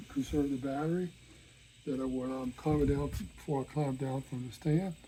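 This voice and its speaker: Noticeable background noise behind a man with a fairly high voice. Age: 70s. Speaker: crossbow hunter and accessory maker. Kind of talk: product review video. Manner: halting, many fillers.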